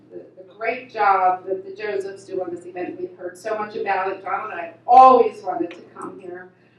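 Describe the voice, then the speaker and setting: A woman's medium-pitched voice at a moderate pace, with hardly any pauses, ordinary pitch variation and big swings in loudness, over noticeable background noise. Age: 70s. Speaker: vintage raceboat racer, award recipient. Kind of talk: award acceptance speech. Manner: halting, many repeated words.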